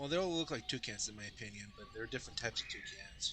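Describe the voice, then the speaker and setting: Noticeable background noise surrounds a man talking with an American accent. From Colorado, US. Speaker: gaming YouTuber. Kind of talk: game walkthrough commentary. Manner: halting, with fillers and restarts.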